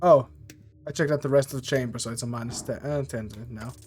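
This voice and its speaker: Music plays behind a man who talks at a very fast pace and medium pitch, with big swings in loudness. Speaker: vtuber gamer. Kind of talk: let's play commentary reading game text aloud. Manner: casual, halting with frequent fillers.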